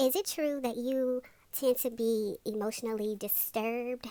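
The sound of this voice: In a cartoonish character voice, a woman speaks at a high pitch. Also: moderate pace, ordinary pitch variation.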